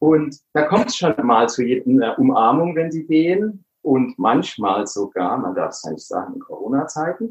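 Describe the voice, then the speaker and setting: Pitched fairly high, this man's voice makes very wide pitch swings and big jumps in loudness. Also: moderate pace, hardly any pauses. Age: 60s. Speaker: psychotherapy practitioner. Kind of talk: casual interview.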